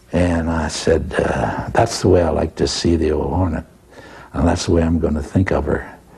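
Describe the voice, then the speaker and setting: A man's very deep, low voice in a monotone, flat delivery, with an American accent and noticeable background noise. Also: moderate pace. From Texas. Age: 80s+. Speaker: painter and war artist. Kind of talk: interview answer.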